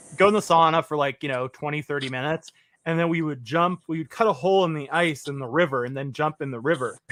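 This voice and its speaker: Animated and very fast, a man talks at a fairly high pitch in a dry, close sound with no echo. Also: ordinary pitch variation. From Quebec, Montreal. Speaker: livestream host. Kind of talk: casual chat.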